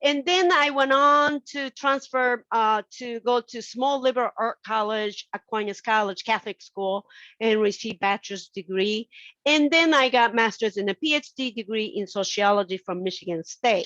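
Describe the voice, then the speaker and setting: Against a quiet background, a woman with a Japanese accent speaks at a moderate pace in a bright, sharp, fairly high voice with lively intonation, the sound dry and close with no echo. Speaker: sociology professor. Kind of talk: invited talk.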